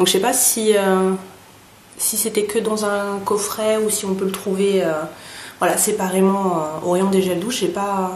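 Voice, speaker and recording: In a room with audible echo, a woman speaks at a fairly slow pace with long, frequent pauses. Her medium-pitched voice has monotone, flat intonation. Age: 30s. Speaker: beauty vlogger. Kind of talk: product review vlog. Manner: hesitant, many fillers.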